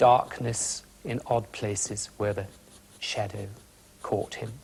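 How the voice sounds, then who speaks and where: Someone speaks with a British accent at a very slow pace. The voice is somewhat breathy. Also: man. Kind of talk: instructional art demonstration on a children's TV show. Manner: calm, gentle, friendly.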